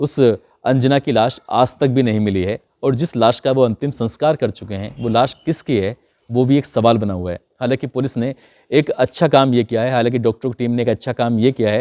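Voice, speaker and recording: Dry and close with no echo, this very clean recording with a silent background carries a man's dark, mellow tone and ordinary pitch variation. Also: medium pitch for a man, moderate pace. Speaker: crime storyteller. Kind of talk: storytelling narration.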